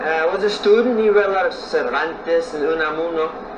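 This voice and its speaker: Speaking at a fairly slow pace, a man with a high pitch uses lively intonation over noticeable background noise. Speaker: storyteller. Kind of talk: folk tale storytelling. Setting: outdoors.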